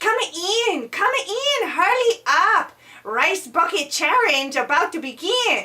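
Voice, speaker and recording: A cartoonish character voice with very wide pitch swings and a fairly slow pace. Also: female-sounding voice, extremely high pitch for a woman. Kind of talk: comic overacting. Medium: puppet show. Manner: broken, clipped grammar.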